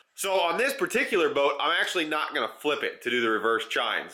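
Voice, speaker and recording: A man talks at a very fast pace with a high pitch and very wide pitch swings. Noticeable background noise sits behind him. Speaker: outdoors DIY video host. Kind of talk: casual workshop vlog. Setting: workshop. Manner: casual, hesitant with fillers.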